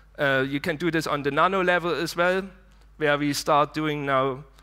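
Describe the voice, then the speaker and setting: With a German accent, the voice has a bright, sharp tone and ordinary pitch variation. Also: man. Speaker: conference speaker. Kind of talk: conference talk. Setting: stage with audience.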